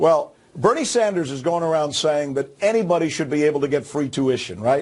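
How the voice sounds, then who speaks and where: Speaking at a fairly quick pace, a man with fairly high pitch uses lively intonation. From abroad, immigrated to the US. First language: not English. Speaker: political commentator. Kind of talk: TV news panel discussion.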